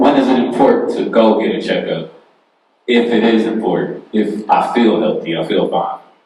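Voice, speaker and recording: A man talks at a moderate pace, and the room's echo is audible around his words. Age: 30s. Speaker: panelist asking health questions. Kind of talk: casual question at town hall. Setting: town hall with audience.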